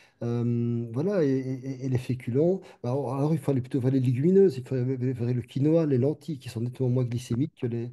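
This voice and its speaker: Dark and mellow in tone, a man speaks at a fairly quick pace with fairly even intonation. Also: medium pitch for a man, hardly any pauses. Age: 60s. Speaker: doctor. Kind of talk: panel discussion. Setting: webinar video call. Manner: halting, repetitive.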